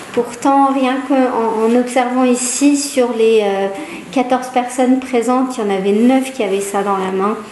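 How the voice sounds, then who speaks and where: In a room with audible echo and noticeable background noise, a woman with a high pitch speaks at a fairly slow pace with fairly even intonation. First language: Hebrew (speaking French). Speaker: psychologist. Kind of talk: public talk. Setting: small audience in a room. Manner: hesitant, many fillers.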